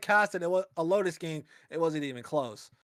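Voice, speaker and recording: A man speaking in a normal speaking voice keeps a moderate pace, and his pitch varies in an ordinary way. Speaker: esports caster. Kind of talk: live commentary. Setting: online voice call.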